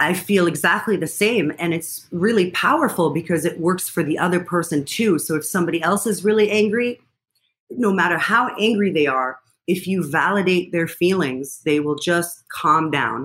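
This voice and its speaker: Speaking at a moderate pace, a woman with an unremarkable speaking voice shows ordinary pitch variation in a fairly low pitch. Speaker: clinical psychologist. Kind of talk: interview.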